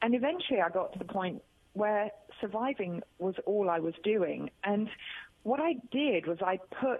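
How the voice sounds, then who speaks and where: With a British accent, a woman talks at a fairly slow pace, her medium pitch lifted by lively intonation while her loudness stays very even. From England. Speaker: author and speaker, cancer survivor. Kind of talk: radio interview. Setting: phone call.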